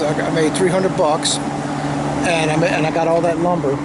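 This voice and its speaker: With an American accent, a man speaks at a moderate pace and fairly even intonation, with noticeable background noise and audible room echo. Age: 60s. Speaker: homesteading vlogger. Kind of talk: casual walkthrough vlog. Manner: halting, many repetitions and fillers.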